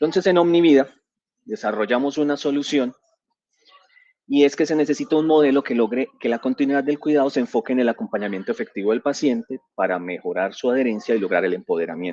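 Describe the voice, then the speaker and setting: The sound is dry and close, with no echo. A man talks at a very fast pace in a fairly high pitch that swings very widely. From Colombia, San Andrés island, raised in Medellín. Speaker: physician and digital transformation director, conference speaker. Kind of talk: conference presentation. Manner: hesitant, with fillers and repetitions.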